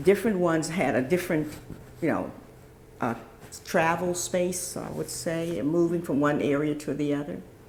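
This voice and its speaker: Speaking with an American accent, a woman uses a fairly low voice with ordinary pitch variation at a moderate pace. Long, frequent pauses break her speech, and the room echo is audible. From US South, Virginia. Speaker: interviewee. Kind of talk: oral history interview.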